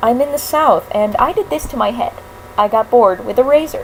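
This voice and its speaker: A woman's high-pitched voice at a moderate pace against noticeable background noise. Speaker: vlogger and voice actor. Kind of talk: casual vlog. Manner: rambling, hesitant with many fillers.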